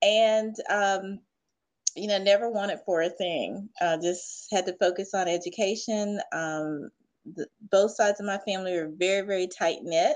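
With an American accent and an unremarkable speaking voice, a woman speaks at medium pitch and a moderate pace, with fairly even intonation over a quiet background. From US South. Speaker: leadership expert. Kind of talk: interview.

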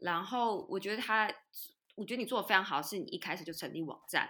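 On a very clean recording with a silent background, a woman talks very fast with a bright, sharp tone and lively intonation. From Taiwan. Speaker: podcast host and business coach. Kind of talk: interview.

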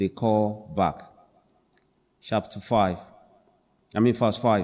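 A man speaks in a dark, mellow tone. He keeps a fairly slow pace. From Africa. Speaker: preacher. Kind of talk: sermon. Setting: church.

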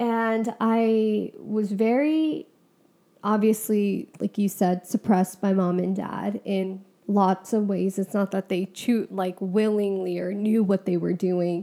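A dark, mellow tone at a fairly slow pace, with fairly even intonation and a very clean recording with a silent background. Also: woman. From Punjabi Sikh family, US. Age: 20s. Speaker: podcast co-host, therapy student. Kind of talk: casual chat.

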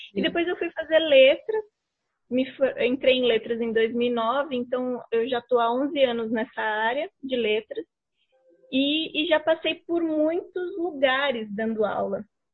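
This woman has a high-pitched voice. She speaks fairly slowly, with lively intonation. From São Paulo, Brazil. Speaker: writer and teacher. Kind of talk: casual interview chat.

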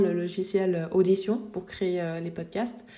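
A woman's fairly slow, fairly even-toned delivery. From Switzerland. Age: 20s. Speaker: graphic designer and podcast host. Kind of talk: casual solo podcast monologue. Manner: unscripted with hesitations.

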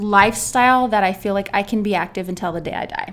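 On a very clean recording with a silent background, a woman with an American accent and an unremarkable speaking voice speaks at a moderate pace and medium pitch with fairly even intonation. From California, San Diego. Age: 30s. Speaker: obstacle course athlete. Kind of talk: interview.

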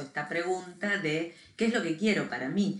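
Her intonation lively, a woman with an ordinary speaking voice talks at a moderate pace. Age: 50s. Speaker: podcast co-host. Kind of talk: casual chat.

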